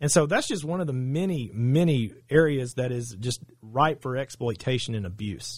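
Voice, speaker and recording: A man with an Arkansas accent, somewhat breathy, medium in pitch, with lively intonation at a moderate pace, in a very clean recording with a silent background. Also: hardly any pauses. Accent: Southern US (Arkansas). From Arkansas, Saline County. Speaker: attorney. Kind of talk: interview.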